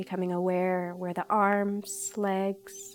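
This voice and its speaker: Over music in the background, a woman speaks very slowly at a medium pitch with monotone, flat intonation. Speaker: yoga instructor. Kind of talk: guided meditation. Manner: slow, soft-spoken.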